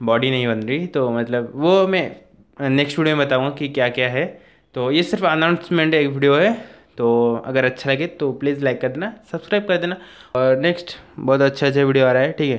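Over a quiet background, a man talks at a moderate pace with a fairly high pitch and ordinary pitch variation. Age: young. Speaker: YouTuber. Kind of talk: vlog announcement. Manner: halting. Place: home room. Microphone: lapel.

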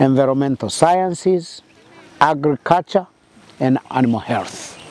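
A man talks at a fairly slow pace with ordinary pitch variation. The sound is dry with no echo, and there is light background noise. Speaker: interviewee. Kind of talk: interview answer. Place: open country.

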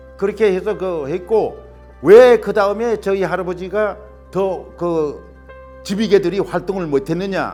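Music plays in the background as a man speaks at a high pitch and a fairly slow pace with fairly even intonation. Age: old. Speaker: village elder, great-grandson of a local independence figure. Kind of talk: interview answer.

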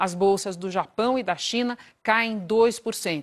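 The background is quiet as a woman talks at a very slow pace. Her pitch is fairly high and varies in an ordinary way. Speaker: news anchor. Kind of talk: live TV news anchoring, formal. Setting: TV studio. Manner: formal, measured, brisk. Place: studio. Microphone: lapel.

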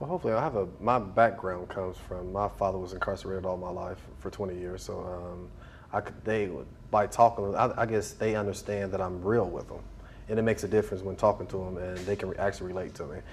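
Very fast and somewhat breathy, a man talks in a very deep, low pitch with fairly even intonation over light background noise. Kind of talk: interview answer. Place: hall.

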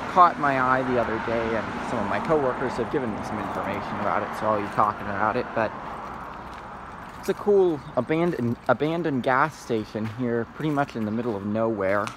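A man talks at a fairly quick pace with ordinary pitch variation. The sound is dry with no echo, and there is noticeable background noise. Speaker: urban explorer vlogger. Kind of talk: casual vlog narration. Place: street. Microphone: phone near.

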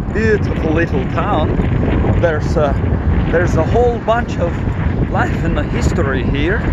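Against loud background noise, a man talks at a moderate pace with long, frequent pauses, the sound dry with no echo. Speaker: vlogger. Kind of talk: comedic mock guided tour with improvised fake-guide patter. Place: open country. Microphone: phone near.

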